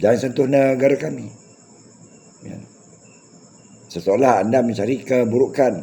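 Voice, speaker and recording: At a fairly slow pace and with long, frequent pauses, a man of medium pitch speaks with ordinary pitch variation. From Malaysia. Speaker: YouTube commentator. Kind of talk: monologue rant addressed to critics.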